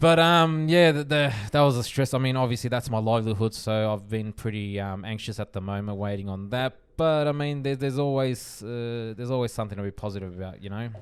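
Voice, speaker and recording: Talking very fast with an Australian accent, a man keeps a medium pitch and ordinary pitch variation. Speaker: podcast co-host. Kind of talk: casual chat. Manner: halting, many fillers and repeats.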